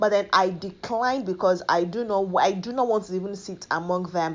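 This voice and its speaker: A woman talks at a moderate pace in an unremarkable speaking voice, medium in pitch with ordinary pitch variation. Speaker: TV host. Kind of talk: entertainment news commentary to camera. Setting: studio, lapel mic.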